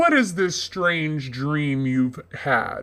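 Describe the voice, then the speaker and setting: A man's put-on character voice, fairly high in pitch, on a very clean recording with a silent background. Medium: audio drama.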